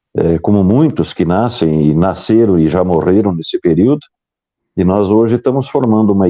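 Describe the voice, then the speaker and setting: A man speaks at a moderate pace, his pitch very deep and low. The tone is dark and mellow, and the sound is dry and close with no echo. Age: 60s. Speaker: former radio broadcaster, news site owner. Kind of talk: casual chat. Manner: halting.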